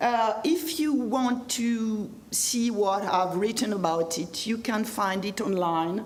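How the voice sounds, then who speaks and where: A woman with a French accent speaks at a very slow pace in a fairly high pitch, sounding somewhat breathy. Her pitch swings very widely, and the room echo is audible. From France. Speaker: history professor. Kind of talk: lecture. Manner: halting.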